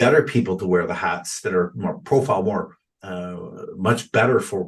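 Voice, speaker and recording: With a Canadian accent, a man speaks at a moderate pace. His voice is fairly low and somewhat breathy. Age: 50s. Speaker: realtor and real estate investor. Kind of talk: podcast interview. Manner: halting, many repetitions and fillers.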